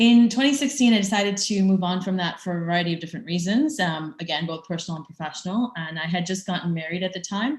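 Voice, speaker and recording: In an American accent, a woman rushes along at a very fast pace with hardly any pauses, her somewhat breathy voice full of lively intonation. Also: medium pitch for a woman. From US Midwest, Chicago. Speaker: tech startup founder. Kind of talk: conference presentation. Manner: hesitant with many fillers.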